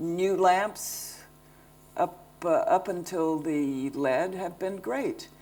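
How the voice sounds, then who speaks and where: A woman with a fairly low pitch speaks at a very slow pace. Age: 70s. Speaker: lighting designer. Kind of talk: public talk Q&A. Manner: halting.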